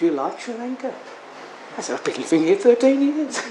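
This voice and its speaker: With an Australian accent, a man talks with lively intonation over noticeable background noise and audible room echo. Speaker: Buddhist monk. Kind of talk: sermon. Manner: halting, many fillers.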